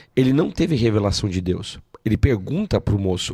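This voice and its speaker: Male, fairly low-pitched and somewhat breathy, with a dark, mellow tone, lively intonation and moderate pace, in a very clean recording with a silent background and a dry, close sound with no echo. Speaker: pastor. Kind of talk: preaching in an interview.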